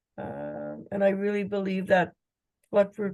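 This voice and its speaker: The tone of this woman's medium-pitched voice is dark and mellow. Her pace is fairly slow. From Cree First Nation, Saskatchewan, Canada. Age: 60s. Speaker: TB survivor. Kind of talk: personal introduction.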